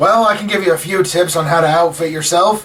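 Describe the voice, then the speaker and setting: A man's put-on character voice, high-pitched and fairly quick. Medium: actual play.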